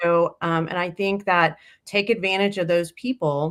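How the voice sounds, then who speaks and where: With a Texas accent, this woman talks at a medium pitch. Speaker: industry association representative. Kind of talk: casual interview chat.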